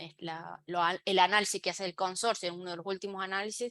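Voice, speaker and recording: Bright, sharp female speech at a moderate pace with fairly even intonation, dry and close with no echo. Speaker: web accessibility expert, speaker. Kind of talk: online talk / lecture. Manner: halting, many fillers.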